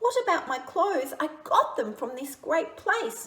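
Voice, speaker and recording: A woman uses a put-on character voice at an extremely high pitch. Her pitch swings very widely. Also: moderate pace. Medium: read story. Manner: eager, self-admiring.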